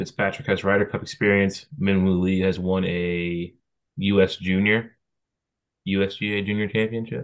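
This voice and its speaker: Fairly low in pitch, a man talks at a moderate pace with fairly even intonation. His is an unremarkable speaking voice. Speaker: golf podcast co-host. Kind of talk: casual chat.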